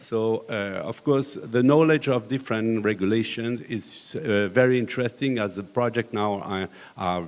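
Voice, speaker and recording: With a French accent, a man speaks at a moderate pace and medium pitch, using ordinary pitch variation and hardly any pauses. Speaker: construction company manager. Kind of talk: panel discussion. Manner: hesitant, many fillers.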